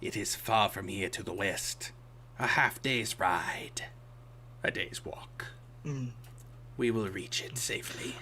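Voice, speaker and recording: A man whispers in a put-on character voice. His pace is fairly slow, with long, frequent pauses. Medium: actual play. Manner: terse, clipped sentences.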